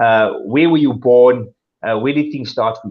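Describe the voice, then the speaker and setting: In a South African accent, a man talks at a fairly quick pace. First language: Afrikaans. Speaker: talk show host. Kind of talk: talk show interview.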